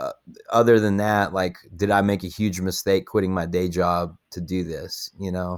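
A man with a Texan accent, very deep and low in pitch, at a fairly slow pace with fairly even intonation. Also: very clean recording, silent background. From Texas (Paducah, rural West Texas). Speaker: musician. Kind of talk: interview. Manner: casual, filler-heavy.

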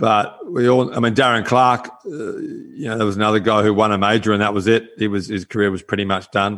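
With an Australian accent, a man with a fairly low pitch talks at a fairly quick pace, hardly pausing and keeping his intonation fairly even. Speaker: golf course architect and former touring pro. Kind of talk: casual chat. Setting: video call.

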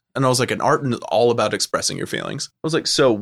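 On a very clean recording with a silent background, a man with a Californian accent speaks in a medium pitch, the sound dry and close with no echo. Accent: Californian American English. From Southern California. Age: 30s. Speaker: film lecturer. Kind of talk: casual chat.

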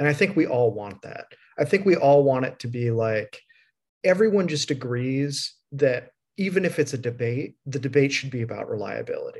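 A man with an American accent, fairly high-pitched and somewhat breathy, at a moderate pace, with lively intonation, big swings in loudness and a quiet background. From US Midwest. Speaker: podcast host. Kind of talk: casual interview chat.

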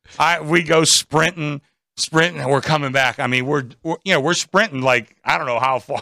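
In an American accent, a man talks at a moderate pace in a fairly high, bright, sharp voice. His pitch varies in an ordinary way and the sound is dry and close with no echo. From Pittsburgh area, US. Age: 60s. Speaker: sportsbook director. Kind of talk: casual chat. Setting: live from casino sportsbook studio.

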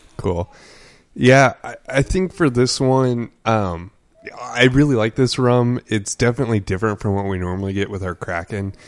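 The man has an ordinary speaking voice, fairly low in pitch. He moves at a moderate pace with ordinary pitch variation. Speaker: podcast co-host, bartender. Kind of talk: casual chat over drinks.

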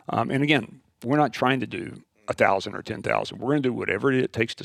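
Vocal fry runs through the speech, which moves at a fairly quick pace. The intonation stays fairly even. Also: man. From West Texas. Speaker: school founder and teacher. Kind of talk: interview.

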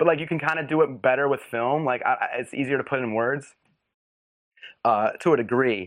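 The pace is fairly quick as this man talks. He sits at a medium pitch and varies it in an ordinary way. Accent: American. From US Northeast, Philadelphia suburbs. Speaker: filmmaker. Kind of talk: casual chat. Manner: halting, many fillers and restarts.

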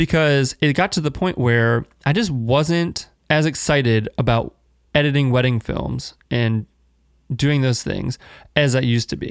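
An unremarkable speaking voice goes at a fairly slow pace with ordinary pitch variation. The recording is very clean with a silent background and a dry, close sound with no echo. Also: man, medium pitch for a man. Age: 20s. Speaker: podcast host, video producer. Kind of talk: solo monologue, life update. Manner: casual, free-flowing with fillers.

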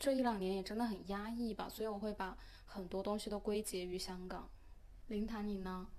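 A woman talks at a fairly quick pace and medium pitch. Her intonation is monotone and flat. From mainland China. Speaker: podcast host. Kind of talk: casual chat.

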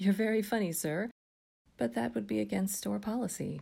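A man's strained, put-on character voice, high in pitch with very wide pitch swings, at a moderate pace. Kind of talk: polite customer service. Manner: strained, forced politeness.

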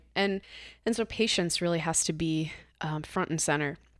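Speaking at a moderate pace, a woman uses a normal speaking voice. Her fairly low pitch carries fairly even intonation. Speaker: podcast producer and guest host. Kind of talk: casual chat. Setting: studio.

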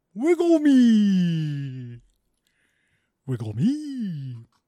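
A man puts on a character voice at a high pitch. His pitch swings very wide. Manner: silly, squeaky character voice.

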